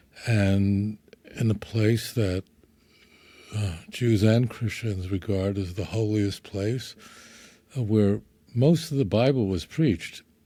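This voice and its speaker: With a New York accent, a man speaks at a very slow pace with long, frequent pauses, his fairly low voice dark and mellow in tone and ordinary in pitch variation. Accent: New York (Brooklyn) American. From New York, Brooklyn. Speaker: rabbi. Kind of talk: friendly interview conversation.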